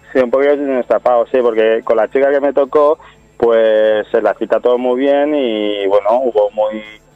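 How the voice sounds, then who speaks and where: A man at medium pitch and moderate pace, with fairly even intonation, very even loudness, and music in the background. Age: 30s. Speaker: reality TV participant and amateur actor. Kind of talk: radio interview.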